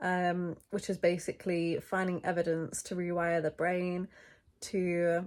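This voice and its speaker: A woman with a British accent talks at a medium pitch in a very clean recording with a silent background. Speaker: lifestyle vlogger. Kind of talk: casual vlog talk.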